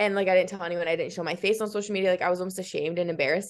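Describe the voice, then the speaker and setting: Speaking with an American accent, a woman has a fairly low pitch. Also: quiet background. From US Midwest, Iowa. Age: 20s. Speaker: fitness content creator and college student. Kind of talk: casual podcast interview. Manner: animated.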